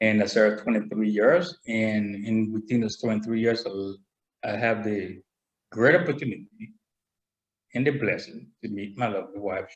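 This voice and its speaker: With a Spanish accent, a man speaks at a fairly low pitch, his pitch moving in an ordinary way. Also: moderate pace. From Panama. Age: 60s. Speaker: military veteran. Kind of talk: interview. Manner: halting. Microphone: too quiet, far from computer.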